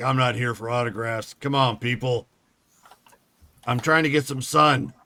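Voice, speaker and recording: Putting on a gruff character voice, a man talks at a medium pitch with fairly even intonation. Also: moderate pace. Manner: irritated, curt.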